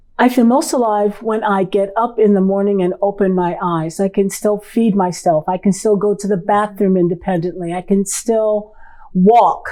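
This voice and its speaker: With a normal speaking voice, a woman talks at a moderate pace with fairly even intonation and hardly any pauses. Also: medium pitch for a woman. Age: 60s. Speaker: licensed clinical social worker. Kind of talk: casual interview.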